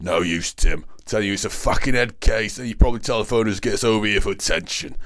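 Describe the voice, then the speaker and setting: A man rattles along at a very fast pace in a put-on character voice, fairly low in pitch with ordinary pitch variation. His loudness swings widely. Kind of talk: audiobook narration. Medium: read story.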